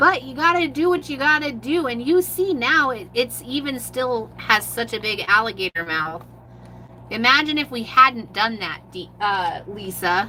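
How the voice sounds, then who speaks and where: Noticeable background noise sits behind a woman's fairly high voice. She speaks fairly slowly, her pitch swinging very widely. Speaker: mixed media artist. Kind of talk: live art tutorial. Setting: livestream.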